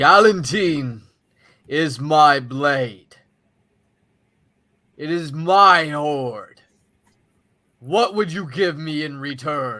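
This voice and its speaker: A man's put-on character voice, fairly high-pitched and very slow, with long, frequent pauses, in a very clean recording with a silent background. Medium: actual play. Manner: grandiose, menacing.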